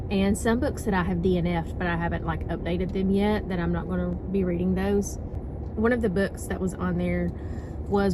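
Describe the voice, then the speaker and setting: Through noticeable background noise and audible room echo, a woman's voice holds a very even loudness. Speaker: book vlogger. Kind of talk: casual vlog chat. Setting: library.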